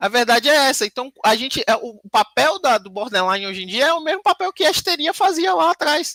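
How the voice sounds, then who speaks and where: Bright and sharp in tone, a woman with a high voice talks at a fairly quick pace with very wide pitch swings, the sound dry and close with no echo. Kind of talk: panel talk / lecture conversation. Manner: uneven loudness, sometimes quiet sometimes very loud.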